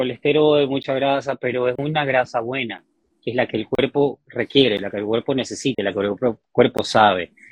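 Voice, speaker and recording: The delivery is fairly quick and comes in an ordinary speaking voice. Pitch moves with ordinary variation. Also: man, big swings in loudness. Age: 30s. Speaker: fitness coach. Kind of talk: interview.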